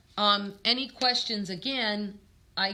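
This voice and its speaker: Amid noticeable background noise, a woman speaks fairly slowly in a New York accent. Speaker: tarot reader. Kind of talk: live stream chat. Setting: live stream from a store. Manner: casual, filler-heavy.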